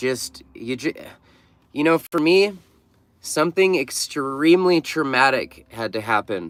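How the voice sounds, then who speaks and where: On a very clean recording with a silent background, a man with an American accent speaks fairly slowly with lively intonation. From Oregon. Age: 40s. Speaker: van-dwelling livestreamer. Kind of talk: casual livestream chat reading viewer comments. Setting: livestream from a mechanic shop. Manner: casual, halting with fillers.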